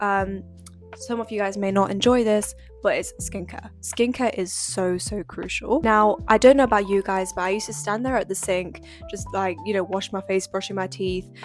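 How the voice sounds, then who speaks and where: A woman talks in a relaxed tone at medium pitch and a moderate pace. Her pitch varies in an ordinary way, with music in the background. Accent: British. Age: young. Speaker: economics student and lifestyle vlogger. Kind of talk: casual talk to camera. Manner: chatty, relaxed.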